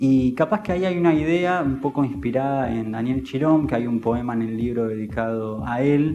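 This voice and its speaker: This man has an unremarkable speaking voice. His pitch sits in the medium range with ordinary variation. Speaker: poet and writer. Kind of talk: interview answer.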